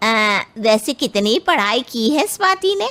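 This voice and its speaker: A woman puts on a cartoonish character voice, fairly high in pitch. She talks fairly slowly, with very wide pitch swings. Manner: bossy, condescending.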